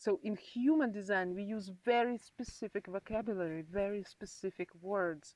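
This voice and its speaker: A woman's medium-pitched voice at a moderate pace, with ordinary pitch variation and hardly any pauses, in a dry, close sound with no echo. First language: not English; English is her third language. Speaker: human design practitioner. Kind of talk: interview.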